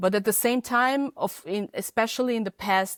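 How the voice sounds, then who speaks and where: Heard dry and close with no echo, a woman speaks with a Hungarian accent. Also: very clean recording, silent background. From Hungary. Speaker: feminist podcaster and editor. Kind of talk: interview. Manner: halting, many fillers.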